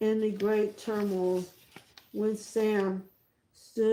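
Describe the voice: This is plain reading aloud. A quiet background surrounds it.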